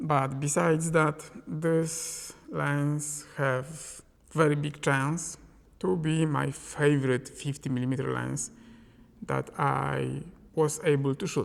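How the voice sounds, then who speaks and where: A man with a non-native accent speaks at a very slow pace. His pitch is fairly high and his intonation fairly even. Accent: non-native English pronunciation. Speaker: film photography YouTuber, lens reviewer. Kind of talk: product review to camera. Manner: casual, conversational.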